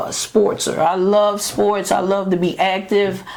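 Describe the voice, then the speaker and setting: A woman speaks at a medium pitch. Noticeable background noise and audible room echo fill the recording. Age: 60s. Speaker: podcast co-host, sports referee. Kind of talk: casual chat.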